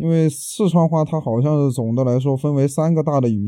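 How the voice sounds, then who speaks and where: A man's dark, mellow voice at a moderate pace with ordinary pitch variation, in a very clean recording with a silent background. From Ziyang, Sichuan, China. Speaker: interviewee sharing their dialect. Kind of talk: interview.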